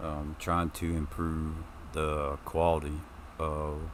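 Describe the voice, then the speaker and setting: Audible room echo fills the space. Within it, a man talks. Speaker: gaming streamer. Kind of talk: gameplay commentary. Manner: loud; hesitant, many ums. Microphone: new mic stand, mic moved closer.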